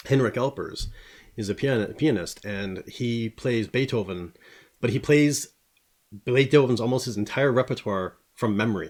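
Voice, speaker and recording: In a very clean recording with a silent background, a man speaks at a moderate pace with ordinary pitch variation. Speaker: podcast host. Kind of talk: casual chat.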